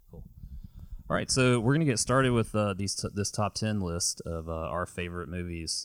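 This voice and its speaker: A man speaks at a moderate pace in a plain, everyday voice, fairly low in pitch with lively intonation, on a very clean recording with a silent background. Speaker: film podcast co-host. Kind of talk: casual chat. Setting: home room with movie shelves.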